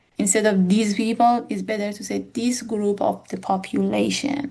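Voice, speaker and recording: Speaking at a moderate pace, a woman with a non-native accent has a fairly high pitch and a somewhat breathy voice. Her tone is dark and mellow, and her intonation stays fairly even. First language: not English. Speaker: academic educator. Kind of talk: tutorial. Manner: halting.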